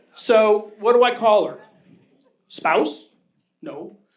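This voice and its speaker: A man with a high-pitched voice is heard with audible room echo around him. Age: 60s. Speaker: amateur stand-up comedian. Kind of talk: stand-up. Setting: comedy club stage with audience.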